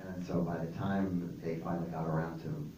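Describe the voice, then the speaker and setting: A man speaks in a very deep, low voice. Light background noise and audible room echo are present. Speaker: guest. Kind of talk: interview answer. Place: stage. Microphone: pa.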